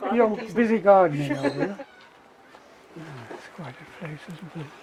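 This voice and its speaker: A man with a British accent and high pitch, lively intonation, big swings in loudness and a moderate pace, noticeable background noise behind him. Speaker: architect. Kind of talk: casual chat.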